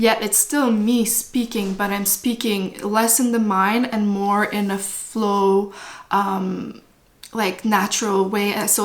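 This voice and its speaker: With a Quebec accent, a woman talks at a medium pitch. Her intonation stays fairly even. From French Canada. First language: French. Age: 30s. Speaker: spiritual vlogger. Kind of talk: casual talk to camera. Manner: unscripted, stream of consciousness.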